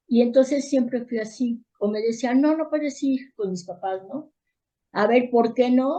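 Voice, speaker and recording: Her pitch high, a woman talks with ordinary variation in pitch. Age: 60s. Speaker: therapist and educator. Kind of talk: interview.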